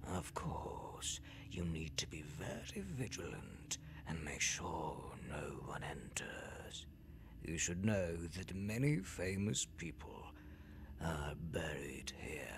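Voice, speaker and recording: Whispering in a gravelly, put-on character voice, a man speaks at a very slow pace over clear background noise. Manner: menacing.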